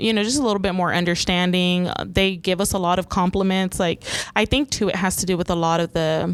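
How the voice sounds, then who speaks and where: A woman with a Spanish accent talks at a moderate pace. Her pitch is medium and her intonation fairly even. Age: 40s. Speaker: 911 dispatch supervisor. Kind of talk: podcast interview. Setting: dispatch center.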